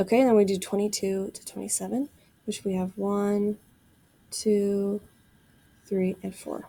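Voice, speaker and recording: Delivered at a fairly slow pace with long, frequent pauses, the voice has a dark, mellow tone, monotone, flat intonation and big swings in loudness. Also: woman, medium pitch for a woman. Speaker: math teacher. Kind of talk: recorded classroom lesson video. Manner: casual, conversational.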